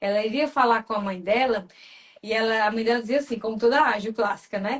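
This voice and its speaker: The speaker is a woman with a fairly high pitch. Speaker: personality temperament coach. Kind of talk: live stream talk. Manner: fast.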